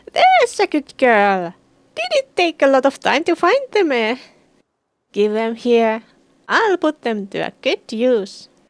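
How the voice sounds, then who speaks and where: In a high-pitched, put-on character voice, a woman speaks fairly slowly with long, frequent pauses. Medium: game stream. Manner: croaky storytelling, sly.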